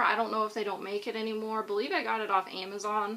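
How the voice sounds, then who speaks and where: A woman speaks quietly at a fairly high pitch. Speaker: book vlogger. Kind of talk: casual vlog talk to camera. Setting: home, recorded on iPad.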